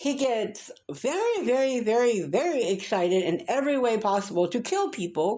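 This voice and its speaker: A woman talks with an American accent as noticeable background noise carries on behind her. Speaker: booktuber. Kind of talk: casual rant review. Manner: animated.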